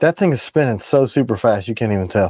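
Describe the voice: With a slightly mellow tone and a slightly husky edge, a man speaks fast at a medium pitch, his intonation lively and the sound dry and close with no echo.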